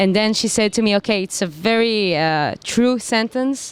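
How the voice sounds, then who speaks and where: With an Israeli accent, a woman talks at a moderate pace with lively intonation. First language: Hebrew. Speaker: singer-songwriter. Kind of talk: interview.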